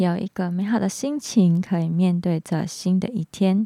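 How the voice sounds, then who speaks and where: With a slight Hong Kong accent, a woman speaks at a fairly slow pace and medium pitch. Her tone is dark and mellow, with ordinary pitch variation. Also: dry, close sound with no echo. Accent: slight Hong Kong accent in Mandarin. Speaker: podcast host. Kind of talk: casual talk monologue.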